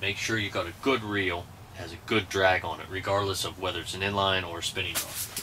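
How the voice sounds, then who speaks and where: A man speaks at a moderate pace in a fairly low pitch, with light background noise behind him. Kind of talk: tutorial. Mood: relaxed, joking. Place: tent. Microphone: camera far.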